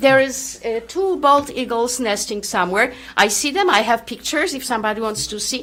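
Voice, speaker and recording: A woman speaks at a moderate pace, her pitch shifting in an ordinary way. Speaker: resident speaking at public meeting. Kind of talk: public comment at town meeting. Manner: loud; halting.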